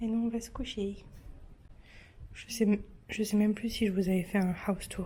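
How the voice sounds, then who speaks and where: A soft-spoken woman talks at a moderate pace with flat, monotone intonation. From French Mediterranean coast. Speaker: lifestyle vlogger. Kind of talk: casual vlog chat.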